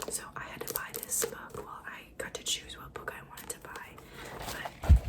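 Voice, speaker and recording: Whispering at a moderate pace, a woman's volume swings widely over noticeable background noise. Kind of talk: ASMR book triggers, casual talk to camera. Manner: whispered.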